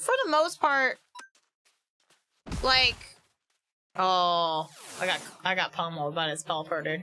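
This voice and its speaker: A loud woman speaks in a bright, sharp, energetic tone with lively intonation and a fairly low pitch. Her pace is fairly slow, broken by long, frequent pauses. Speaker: streamer. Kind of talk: casual gaming livestream chat. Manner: loud, energetic.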